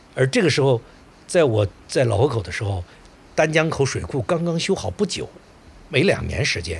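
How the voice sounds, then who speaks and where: Medium-pitched male speech with vocal fry, very wide pitch swings and long, frequent pauses. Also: moderate pace. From Suizhou, northern Hubei, China. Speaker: historian. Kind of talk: interview storytelling. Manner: halting, many filler sounds.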